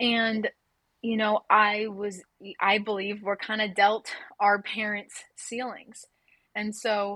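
A woman's medium-pitched voice, bright and sharp in tone, monotone and flat, at a very slow pace. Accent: American. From Southern California. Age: 20s. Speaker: nonprofit worker sharing personal story. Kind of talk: personal testimony interview.

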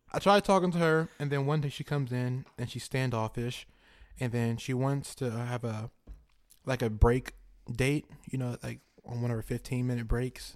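In an animated tone, a man talks at a moderate pace with medium pitch and ordinary pitch variation. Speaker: podcast co-host. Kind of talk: casual banter, comedic chat. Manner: joking, animated.

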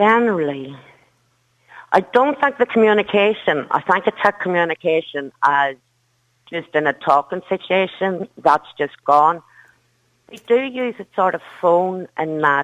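A woman speaks at a fairly slow pace and medium pitch with lively intonation. Her loudness swings widely, and she takes long, frequent pauses. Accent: strong Derry. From Northern Ireland, Derry. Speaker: caller, mother. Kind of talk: phone-in radio call.

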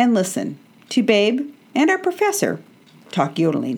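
A woman's high-pitched voice at a moderate pace, with very wide pitch swings. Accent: American. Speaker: radio host. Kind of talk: scripted intro and sponsor read. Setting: studio.

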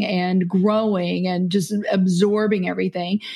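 A woman with an American accent speaks fairly slowly at a medium pitch. Her tone is dark and mellow, and somewhat breathy. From Kentucky, US South. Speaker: business CEO and podcaster. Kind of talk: casual interview conversation.

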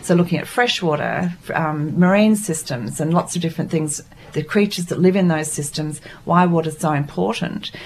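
Against noticeable background noise, a woman talks at a fairly quick pace and a fairly low pitch with ordinary pitch variation. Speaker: art workshop organiser. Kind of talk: radio interview, casual chat. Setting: studio.

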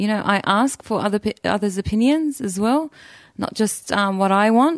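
With an Australian accent, a woman talks at a moderate pace and medium pitch in a dry, close sound with no echo. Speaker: hunter. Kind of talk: interview.

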